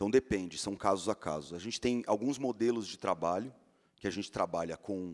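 This man's voice sits at a fairly low pitch with ordinary pitch variation. The background is quiet. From Brazil. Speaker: magazine editor-in-chief; panelist. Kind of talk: panel talk. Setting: stage with audience. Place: stage. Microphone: handheld.

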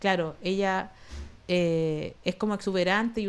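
The woman speaks in a Chilean accent. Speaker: comedian and online show host; comedian, online show host. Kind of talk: casual chat. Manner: animated. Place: home room. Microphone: studio mic.

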